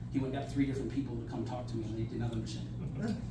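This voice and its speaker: The man speaks very fast, his voice echoing audibly off the room over noticeable background noise. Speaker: company owner giving an informal group talk. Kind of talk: lecture with personal anecdote. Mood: animated, conversational. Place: hall. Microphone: camera far.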